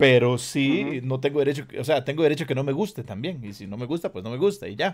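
A man with a Costa Rican accent, fairly high pitch and lively intonation, at a very fast pace with hardly any pauses and big swings in loudness. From Costa Rica, San José (southern barrios). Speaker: reggae/urban musician and online talk show host. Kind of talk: casual video interview.

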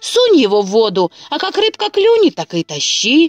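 Recorded with a dry, close sound and no echo, a woman puts on a character voice, high-pitched with very wide pitch swings, at a moderate pace.

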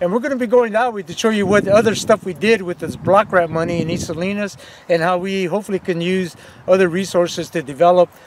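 A man's high voice at a very fast pace, with ordinary pitch variation, a dry sound with no echo, and noticeable background noise. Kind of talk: casual on-site guided commentary. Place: open country.

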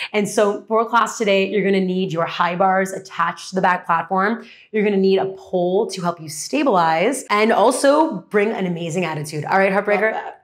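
Against a quiet background, a woman talks at a fairly quick pace with hardly any pauses and ordinary pitch variation. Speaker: fitness instructor. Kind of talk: workout class cueing. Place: empty room.

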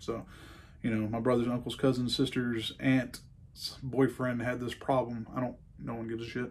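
Here a man talks at a moderate pace. His pitch sits in the medium range. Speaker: gun review YouTuber. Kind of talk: casual rambling review vlog. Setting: indoor shooting range. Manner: casual, rambling, profane. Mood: defiant, ranting. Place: workshop.

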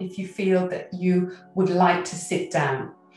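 A woman's voice carries audible room echo, with faint music in the background. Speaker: qigong instructor. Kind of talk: tutorial. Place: home room.

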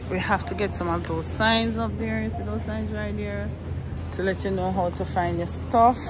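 Speech at a moderate pace over music in the background. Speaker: small shop owner vlogger. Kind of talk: casual vlog chat. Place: shop. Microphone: phone near.

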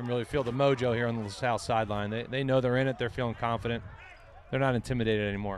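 Speaking at a very fast pace, a man sounds animated at a medium pitch. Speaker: color commentator. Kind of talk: live sports commentary. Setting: broadcast booth at game. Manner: fast, excitable play-by-play analysis, clipped and animated.

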